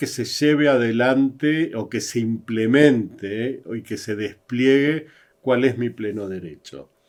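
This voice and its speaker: Speaking with an Argentine accent, a man keeps a very slow pace. His medium-pitched voice shows ordinary pitch variation on a very clean recording with a silent background. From Argentina. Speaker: psychologist and diversity consultant. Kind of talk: interview conversation. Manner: halting.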